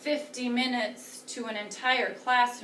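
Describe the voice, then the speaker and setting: A woman speaks in a high pitch. Noticeable background noise and audible room echo are present. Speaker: teacher. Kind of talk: lecture.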